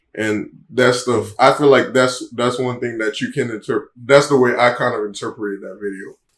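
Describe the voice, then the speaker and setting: At a moderate pace and with hardly any pauses, a plain, everyday voice keeps a fairly even intonation while its loudness swings widely. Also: man, medium pitch for a man. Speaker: reaction show co-host. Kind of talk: casual chat.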